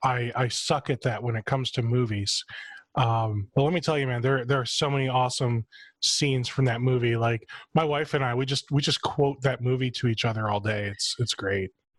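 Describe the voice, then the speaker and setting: A man's somewhat breathy, medium-pitched voice at a fairly quick pace with fairly even intonation, in a dry, close sound with no echo. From US Midwest, suburb of Cleveland, Ohio. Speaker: podcast host. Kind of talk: casual chat.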